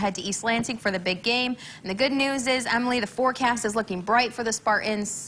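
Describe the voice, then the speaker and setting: A woman's fairly high voice at a very fast pace with hardly any pauses, fairly even intonation and noticeable background noise. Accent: American. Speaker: morning TV news anchor and reporter. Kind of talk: TV news anchor read.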